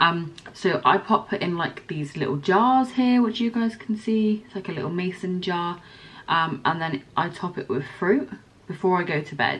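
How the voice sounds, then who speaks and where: The speaker has a West Country accent and lively intonation. The pace is fairly slow, with long, frequent pauses. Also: woman, big swings in loudness. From Somerset, England. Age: 20s. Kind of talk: casual talk to camera.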